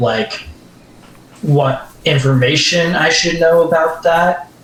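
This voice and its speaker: A man's very slow, fairly evenly intoned speech, with noticeable background noise and audible room echo. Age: 20s. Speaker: convention panel audience member sharing story. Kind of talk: personal testimony. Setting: voice chat on livestream. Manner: halting.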